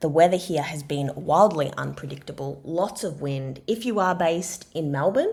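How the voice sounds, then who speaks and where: A woman with an Australian accent, fairly low in pitch, at a moderate pace over noticeable background noise. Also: ordinary pitch variation. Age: 30s. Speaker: podcast host and expressive writing practitioner. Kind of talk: solo podcast monologue. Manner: conversational.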